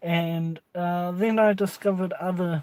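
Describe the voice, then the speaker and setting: This man talks at a very slow pace with a high pitch and a dark, mellow tone. His intonation is monotone and flat, with a New Zealand accent. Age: 20s. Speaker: vape reviewer. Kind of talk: casual vlog chat. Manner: halting, many fillers.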